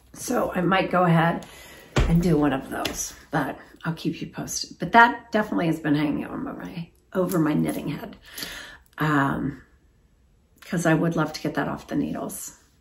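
A woman's put-on character voice, raspy and fairly low-pitched, with lively intonation, a moderate pace, long, frequent pauses and light background noise. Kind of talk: casual, chatty. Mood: cheerful, chatty.

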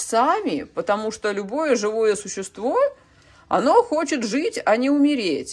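A woman talks at a fairly slow pace with a high pitch. Her intonation is lively. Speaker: orchid-growing video blogger. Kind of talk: casual vlog tutorial. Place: kitchen. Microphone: phone near.

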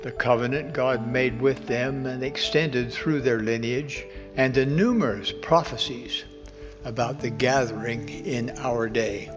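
A man at a fairly slow pace with fairly even intonation, clear music in the background. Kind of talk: sermon. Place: hall. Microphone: podium.

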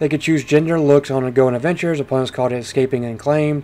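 The tone here is dark and mellow. It belongs to a man. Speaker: video game streamer and reviewer. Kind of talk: game review and gameplay commentary, casual; noir detective narration of in-game text, read aloud. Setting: home recording with gameplay audio. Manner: animated, jokey, upbeat.

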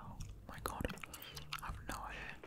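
Soft-spoken whispering under loud background noise. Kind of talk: casual study-along commentary. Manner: soft ASMR whisper, puzzled. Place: home room. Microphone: studio mic.

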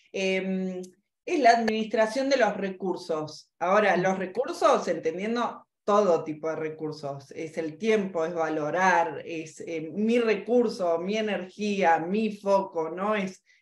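A woman talks very slowly, and room echo can be heard around her voice. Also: ordinary pitch variation. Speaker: podcast guest, finance educator. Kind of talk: interview answer. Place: home room. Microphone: video call.

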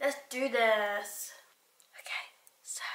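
A woman is speaking with audible room echo. Light background noise sits behind her. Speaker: vlogger. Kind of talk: casual vlog chat.

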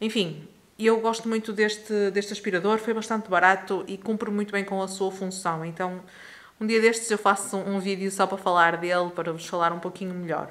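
A woman at a moderate pace in a monotone, flat intonation. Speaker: home vlogger. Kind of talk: casual vlog chat. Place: home room. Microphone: phone near.

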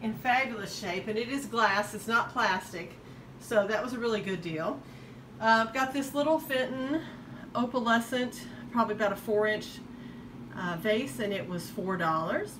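With noticeable background noise, a woman speaks at a moderate pace with ordinary pitch variation and long, frequent pauses. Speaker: estate sale reseller. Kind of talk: casual show-and-tell vlog. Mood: enthusiastic about bargains. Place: home room. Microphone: phone near.

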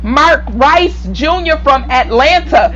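Music is heard in the background. Over it, a woman talks. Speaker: preacher. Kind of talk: sermon with prayer and call-and-response. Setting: online video broadcast to a church audience. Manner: fervent, repetitive, preacherly cadence, urging the congregation to respond; halting, with repeated words and restarts. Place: home room. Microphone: lapel.

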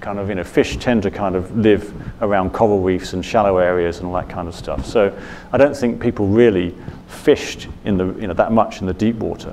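Light background noise sits behind a man speaking at a moderate pace. His pitch is fairly low and his intonation fairly even. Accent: British. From Britain. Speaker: journalist and author on the South China Sea; speaker. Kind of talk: Q&A answers; lecture. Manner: hesitant, many fillers. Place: hall. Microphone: lapel.

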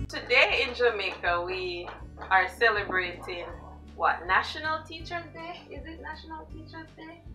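A woman talks at a moderate pace with clear music in the background. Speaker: interviewer. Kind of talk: interview questions. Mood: warm, cheerful. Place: home room.

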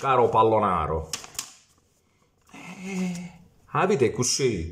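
With a Foggia accent, a man speaks at a very slow pace in a medium pitch with very wide pitch swings, over light background noise. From Italy, Foggia (Apulia); Apulia, Italy. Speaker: football YouTuber. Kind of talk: ranting monologue. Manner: animated. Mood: mocking, heated rant. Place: home room. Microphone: phone near.

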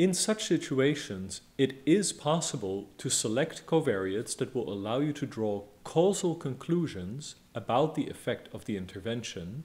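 Moving at a moderate pace, a man talks with very wide pitch swings. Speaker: lecturer. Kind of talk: lecture. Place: home room. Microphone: studio mic.

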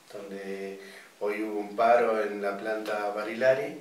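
A man speaks with a fairly low pitch and little pitch movement. His pace is fairly slow, and strong room echo surrounds him.

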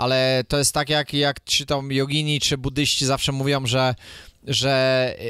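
The voice has a bright, sharp tone and moves at a fairly slow pace. The sound is dry and close, with no echo. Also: man. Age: 40s. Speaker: supplement and lifestyle coach. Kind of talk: casual chat.

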